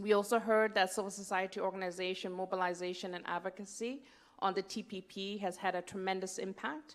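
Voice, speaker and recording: Talking at a fairly quick pace, a woman keeps a medium pitch and a monotone, flat intonation. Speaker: session rapporteur. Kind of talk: conference report summary. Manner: fast.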